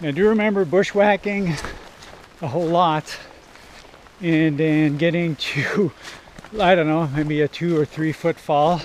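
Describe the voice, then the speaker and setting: With light background noise, a man talks at a moderate pace, his fairly even intonation dry with no echo. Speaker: waterfall explorer vlogger. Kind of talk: casual vlog chat. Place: forest. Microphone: phone near.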